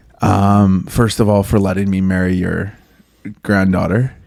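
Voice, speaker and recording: With monotone, flat intonation, a man speaks at a fairly low pitch. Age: 30s. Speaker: pastor. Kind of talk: casual chat.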